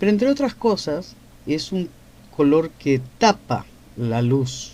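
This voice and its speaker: Speaking at a very slow pace, a man uses a fairly high pitch with a dark, mellow tone and very wide pitch swings. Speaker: painter and writer hosting a live stream. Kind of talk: live stream Q&A monologue. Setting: TikTok live.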